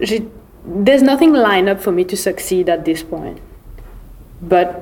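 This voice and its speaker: Her pitch sits in the medium range for a woman. She talks at a very slow pace over noticeable background noise. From Mauritius. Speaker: podcast guest, former baker and student. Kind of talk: casual chat, code-switching French and English.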